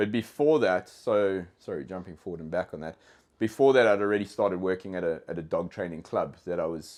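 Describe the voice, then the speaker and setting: A man in a South African accent, very deep and low in pitch, at a moderate pace with ordinary pitch variation. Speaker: dog trainer. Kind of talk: casual podcast interview. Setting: in-person studio. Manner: halting, many fillers and repeated words.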